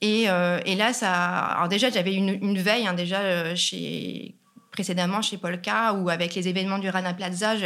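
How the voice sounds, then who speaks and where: The speaker is a woman at medium pitch. She keeps a moderate pace. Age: 40s. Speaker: sustainable fashion consultant. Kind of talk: interview. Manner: halting, frequent fillers and repetitions.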